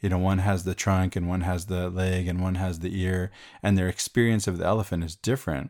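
Over a silent background in a very clean recording, a man with an American accent talks fairly quickly with a very deep, low pitch and fairly even intonation. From United States and Venezuela. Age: 50s. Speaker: podcast co-host. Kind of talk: casual chat.

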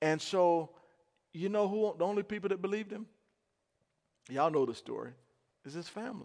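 A man with a high-pitched voice talks at a fairly quick pace but leaves long, frequent pauses. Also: ordinary pitch variation. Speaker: pastor. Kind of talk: sermon delivered live to a congregation. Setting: church; radio broadcast. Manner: animated, emphatic preaching with call-and-response; conversational, uses fillers like uh and um.

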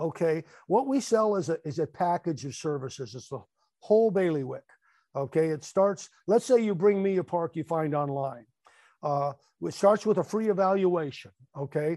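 With an American accent, a man speaks in a high pitch with a dark, mellow tone and lively intonation, recorded with a dry, close sound with no echo against a quiet background. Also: moderate pace. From California. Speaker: mobile home park investor. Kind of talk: interview.

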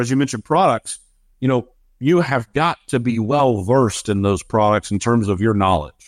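A man speaks in a plain, everyday voice with lively intonation, sounding dry and close with no echo over a quiet background. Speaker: podcast host. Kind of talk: casual interview.

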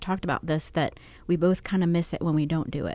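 A woman's fairly low-pitched, ordinary speaking voice with fairly even intonation on a very clean recording with a silent background. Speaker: podcast co-host. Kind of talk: casual chat.

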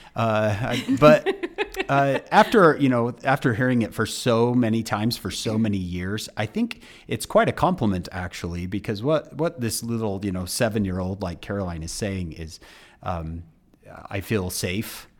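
Lively intonation carries a normal speaking voice at a fairly slow pace. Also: man, fairly low pitch for a man. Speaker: speaker and author. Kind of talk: casual interview chat.

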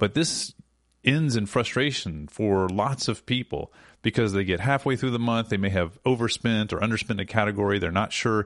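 A man's unremarkable speaking voice, fairly low in pitch with ordinary pitch variation, very even in loudness, at a moderate pace over a quiet background. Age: 40s. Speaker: podcast host and app co-founder. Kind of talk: casual chat; promotional read.

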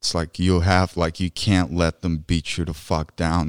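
A man with a very deep, low pitch at a moderate pace, on a very clean recording with a silent background and a dry, close sound with no echo. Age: 30s. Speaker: podcast co-host, Marine veteran. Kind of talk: casual chat. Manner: animated.

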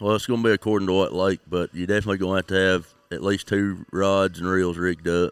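With a Tennessee accent, a man with a very deep, low pitch rushes along at a very fast pace in a flat monotone, hardly pausing at all. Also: dry, close sound with no echo. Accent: Southern US (Tennessee). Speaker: crappie fishing pro. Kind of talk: casual interview. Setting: on location at a tournament.

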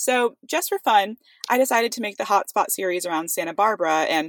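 Fairly quick, lively-toned speech with a dry, close sound with no echo and a very clean recording against a silent background. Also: woman. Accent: American. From US, California Bay Area. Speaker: startup founder. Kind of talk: podcast interview.

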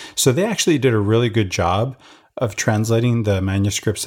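A man with a fairly low pitch speaks at a moderate pace, somewhat breathy, with ordinary pitch variation, on a very clean recording with a silent background. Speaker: podcast co-host discussing scripture. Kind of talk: casual religious study discussion. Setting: studio recording.

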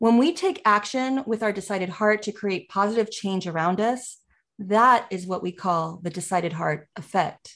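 In a quiet background, a woman with an ordinary speaking voice talks at a moderate pace and medium pitch, with ordinary pitch variation. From United States, child of immigrants. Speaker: podcast co-host. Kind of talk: podcast interview; scripted show intro.

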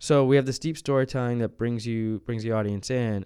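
A man's dark, mellow tone with an American accent. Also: very clean recording, silent background. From US South, New Orleans. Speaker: creative director at a media company. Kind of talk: casual interview. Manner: hesitant, many fillers.

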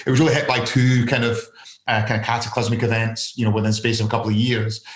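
A man speaks very fast in a Scottish accent, his medium-pitched voice flat and monotone. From Scotland. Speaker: investment fund founder and author. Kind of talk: casual interview.

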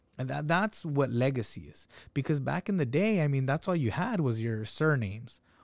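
A man talks at a moderate pace with an ordinary speaking voice and lively intonation. His pitch sits fairly high, on a very clean recording with a silent background. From Salinas, California (Mexican-American). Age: 30s. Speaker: food business owner. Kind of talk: casual chat.

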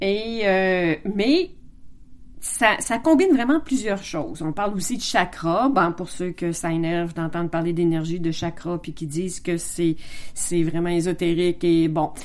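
Speaking at a fairly slow pace in a Quebec accent, a woman has a fairly low pitch and ordinary pitch variation. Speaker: podcast host. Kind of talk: casual monologue. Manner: halting.

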